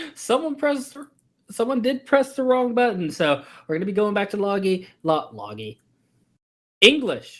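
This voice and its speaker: A moderate pace broken by long, frequent pauses. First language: not English. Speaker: esports caster. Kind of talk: live commentary.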